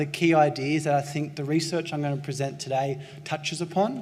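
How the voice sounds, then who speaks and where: A man with a strong Australian accent talks at a very fast pace, with audible room echo and noticeable background noise. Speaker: pain researcher. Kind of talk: conference lecture. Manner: excitable.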